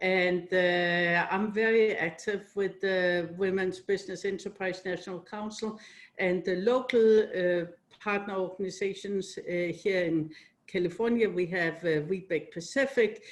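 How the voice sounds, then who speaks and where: A woman with a Danish accent talks at a fairly slow pace in a medium-pitched voice with ordinary pitch variation. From Denmark. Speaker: company CEO. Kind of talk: interview.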